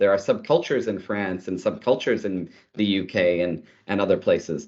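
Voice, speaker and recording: A man with a Canadian accent. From Canada, Ottawa. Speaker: tech executive. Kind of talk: interview.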